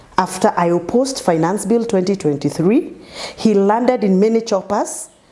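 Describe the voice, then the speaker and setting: Noticeable background noise runs under the speech. The intonation is lively. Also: woman. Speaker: politician. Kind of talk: interview. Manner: animated.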